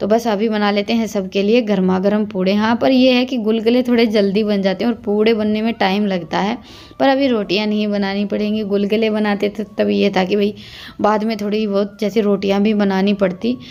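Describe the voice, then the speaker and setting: In a monotone, flat intonation, a woman speaks over noticeable background noise. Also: medium pitch for a woman. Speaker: village vlogger. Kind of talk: vlog narration.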